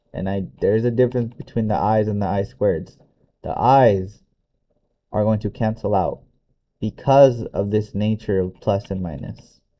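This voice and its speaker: At a moderate pace and a fairly low pitch, a man uses an ordinary speaking voice, with ordinary pitch variation. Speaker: math teacher. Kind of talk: tutorial.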